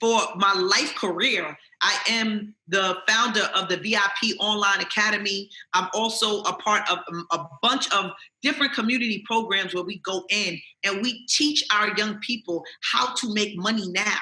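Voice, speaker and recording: At a moderate pace, a woman with a New York accent speaks at a medium pitch. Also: ordinary pitch variation. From Jamaica, Queens, New York. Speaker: author and motivational speaker. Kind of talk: interview answer. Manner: casual, streetwise.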